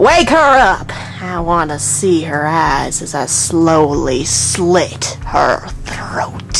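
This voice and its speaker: A put-on character voice at a middle pitch, very slow, over clear background noise. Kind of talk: horror comedy reading. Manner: menacing, gleeful.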